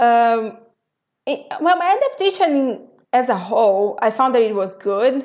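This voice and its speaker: With a strong Brazilian accent, a woman speaks fairly slowly at a high pitch, her voice making very wide pitch swings. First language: Portuguese. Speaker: podcast guest, expat. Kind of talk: casual interview chat. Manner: halting, many repeated words.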